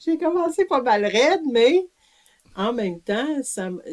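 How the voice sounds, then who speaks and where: A woman with a Quebec accent at a very slow pace, her pitch swinging very widely. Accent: Québécois French. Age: 70s. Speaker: author and community living advocate. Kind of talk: interview. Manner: hesitant, many fillers.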